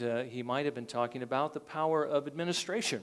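The man's pitch shifts with ordinary variation. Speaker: pastor. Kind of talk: sermon. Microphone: lapel.

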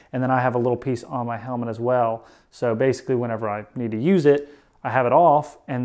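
Against a quiet background, a man with a dark, mellow tone talks at a fairly quick pace and fairly even intonation. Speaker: motovlogger. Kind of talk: tutorial. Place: garage.

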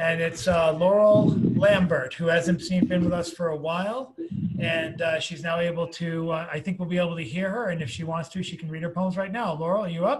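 Over noticeable background noise, the speech runs at a fairly quick pace. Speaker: open mic host. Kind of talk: casual hosting and introductions. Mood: friendly, relaxed. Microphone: video call.

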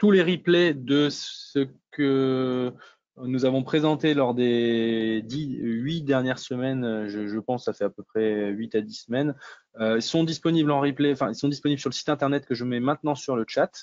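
A man talks at a fairly slow pace with ordinary pitch variation. He has a plain, everyday voice at a medium pitch. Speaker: webinar moderator. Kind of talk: webinar moderation, casual professional. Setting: video call webinar.

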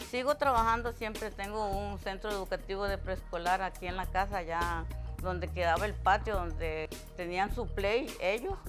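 A woman with a Costa Rican accent at a moderate pace, clear music playing in the background. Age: 80s+. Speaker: preschool teacher. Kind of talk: interview answer. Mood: warm, reminiscing. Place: home room.

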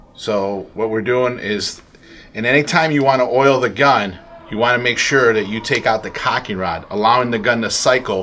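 Against light background noise, a man talks at a moderate pace with ordinary pitch variation. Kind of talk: tutorial. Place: shop.

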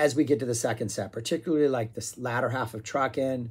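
The man's tone is dark and mellow. His intonation stays fairly even. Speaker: music reviewer. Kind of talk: casual vlog chat. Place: home room. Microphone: phone near.

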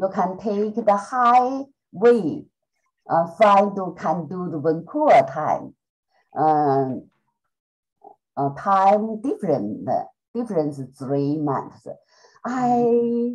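Over faint background music, a woman speaks at a very slow pace with long, frequent pauses, very wide pitch swings and big swings in loudness. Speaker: student. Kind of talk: casual chat. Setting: video call. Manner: halting. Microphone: video call.

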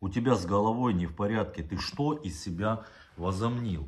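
Against a quiet background, a man talks in a fairly low pitch with lively intonation. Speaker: vlogger. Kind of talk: angry video address. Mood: indignant, accusing. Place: home room. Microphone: phone near.

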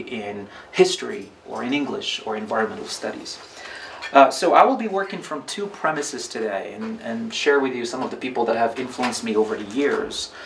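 Light background noise sits behind a man with a fairly high pitch. He speaks at a fairly quick pace with very wide pitch swings. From Morocco. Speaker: professor; speaker. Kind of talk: lecture. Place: home room. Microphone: camera far.

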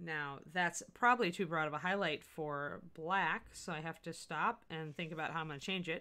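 The tone is bright and sharp, with ordinary pitch variation. The pace is moderate, with hardly any pauses. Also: woman, fairly low pitch for a woman. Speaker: miniature painting livestream host. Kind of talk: live painting tutorial stream. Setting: livestream studio. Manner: loud. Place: home room.

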